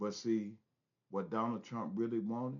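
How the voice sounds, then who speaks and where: A man's fairly low-pitched voice moves at a moderate pace. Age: 60s. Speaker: commentary vlogger. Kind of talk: casual commentary monologue. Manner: animated.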